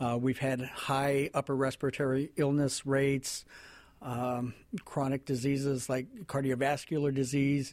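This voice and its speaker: This man speaks at a moderate pace with a medium pitch and flat, monotone intonation. The recording is very clean, with a silent background. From New Mexico, near Navajo Reservation. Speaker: health agency director. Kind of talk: interview. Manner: soft-spoken.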